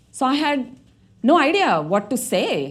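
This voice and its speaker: The speaker has an Indian accent. The pace is very slow. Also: woman. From India, Mumbai. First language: Marathi. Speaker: tech director. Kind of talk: TEDx talk.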